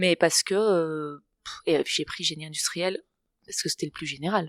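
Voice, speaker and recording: A woman's fairly low voice in a very clean recording with a silent background. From Barcelona, Spain. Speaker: adventurer, kitesurfer. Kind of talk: interview answer. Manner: calm, poised, laughs spontaneously.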